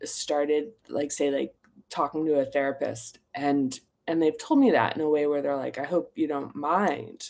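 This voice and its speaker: In a very clean recording with a silent background, a woman speaks at a fairly slow pace with a very deep, low pitch. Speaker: author and teacher of own self-development method. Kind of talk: casual talk about own book. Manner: filler-heavy, halting.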